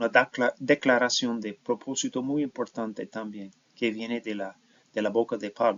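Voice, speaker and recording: At a moderate pace, a man speaks with an English accent. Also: medium pitch for a man. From United States. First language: English (speaking Spanish). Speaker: professor. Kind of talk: lecture. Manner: halting, with fillers and self-corrections.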